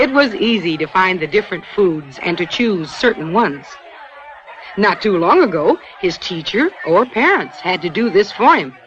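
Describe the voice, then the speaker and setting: Against crowd noise in the background, a woman talks at a moderate pace with very wide pitch swings. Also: medium pitch for a woman. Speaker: narrator. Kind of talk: educational film narration.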